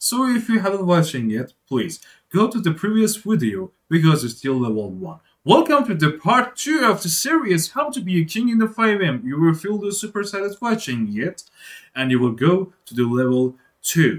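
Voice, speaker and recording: With a non-native accent, the speaker talks at a moderate pace using very wide pitch swings. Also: man, high pitch for a man. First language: not English. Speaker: programming tutor. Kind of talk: tutorial. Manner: halting.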